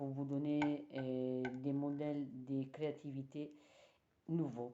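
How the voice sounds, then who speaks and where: A woman speaks at a very slow pace in a very deep, low pitch, her tone dark and mellow and her intonation monotone and flat. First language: Italian (speaking French). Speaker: knitting teacher. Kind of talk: tutorial. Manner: halting.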